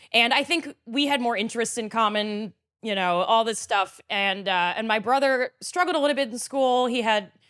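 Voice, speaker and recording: A woman with an American accent speaks at a moderate pace with hardly any pauses and ordinary pitch variation, an unremarkable speaking voice on a very clean recording with a silent background. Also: fairly high pitch for a woman. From US Mid-Atlantic, Frederick, Maryland. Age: 40s. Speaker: podcast guest, storyteller. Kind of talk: casual chat.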